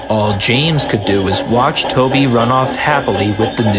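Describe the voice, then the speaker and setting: Over music in the background, a man speaks at a moderate pace and medium pitch with ordinary pitch variation. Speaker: fan dub narrator. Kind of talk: children's story narration with character voices. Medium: dub.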